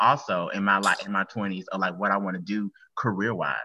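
A man talks at a fairly quick pace, fairly low in pitch with a bright, sharp tone. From US South. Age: 20s. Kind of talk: casual chat.

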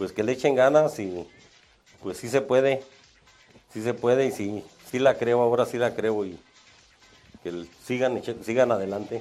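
Noticeable background noise surrounds a man of medium pitch who talks at a fairly slow pace with ordinary pitch variation and long, frequent pauses. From Salvatierra, Guanajuato, Mexico. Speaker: security guard. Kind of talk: interview. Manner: halting.

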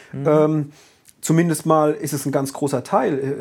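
In a very clean recording with a silent background, a man with a normal speaking voice and fairly high pitch talks at a moderate pace. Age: 30s. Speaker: podcast host. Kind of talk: casual chat.

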